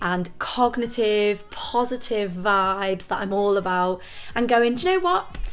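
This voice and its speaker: A woman speaks at a fairly high pitch with a northern English accent. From northern England. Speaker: vocal coach. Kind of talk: tutorial. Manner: casual, with filler words.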